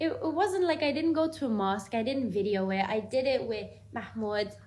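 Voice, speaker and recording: Audible room echo surrounds a woman whose somewhat breathy voice carries lively intonation. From Ireland. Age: 20s. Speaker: vlogger. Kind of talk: personal testimony. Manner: casual.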